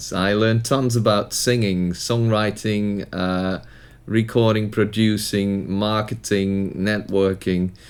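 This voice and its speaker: A man's fairly low voice in a Dutch accent, monotone and flat, at a very slow pace. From Netherlands. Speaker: musician. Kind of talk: tutorial.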